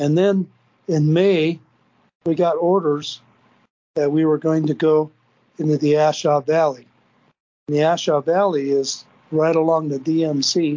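In an American accent, a man with a fairly high pitch speaks in a flat monotone at very even loudness, leaving long, frequent pauses. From Minnesota, US. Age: 70s. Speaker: Vietnam veteran. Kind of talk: personal testimony, storytelling.

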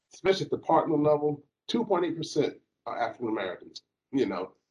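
Using lively intonation and some vocal fry, a man with a dark, mellow tone and fairly high pitch speaks at a moderate pace. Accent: Southern US. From US South, Alabama. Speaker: lawyer. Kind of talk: panel discussion.

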